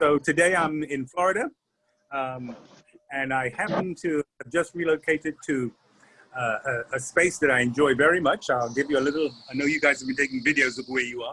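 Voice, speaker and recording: This man has a fairly high pitch and a bright, sharp tone, moving at a fairly quick pace with ordinary pitch variation. His long pauses come often, and the sound is dry and close with no echo. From Trinidad and London. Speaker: leadership trainer. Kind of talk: online workshop talk. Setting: video call from a restaurant.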